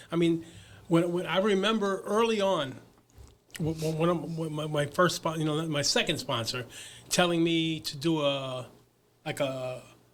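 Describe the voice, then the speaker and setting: With a New York accent, a man talks at a moderate pace in a fairly high pitch, ordinary pitch variation, and long, frequent pauses. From Brooklyn, New York. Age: 70s. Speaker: recovery advocate. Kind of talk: casual interview. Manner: halting, many repeated words.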